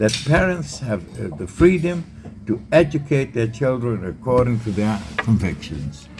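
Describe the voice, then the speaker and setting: At a fairly slow pace, a man speaks at medium pitch, his voice swinging very widely in pitch. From Netherlands. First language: Dutch. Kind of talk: interview. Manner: halting.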